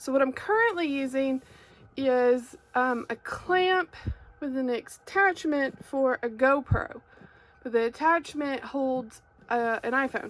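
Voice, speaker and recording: In an American accent, a woman with a high pitch speaks at a very slow pace, her pitch varying in an ordinary way. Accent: Arkansas accent, comes through sometimes. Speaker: crafter and YouTuber. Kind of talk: product unboxing and review. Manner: casual, many fillers (um, like).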